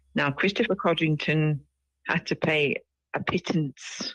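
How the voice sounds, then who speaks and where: A woman's very deep, low voice at a fairly slow pace, with long, frequent pauses, very even loudness, and a dry, close sound free of echo. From UK (Barbudan-born). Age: 60s. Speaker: activist and retired educator. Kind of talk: interview.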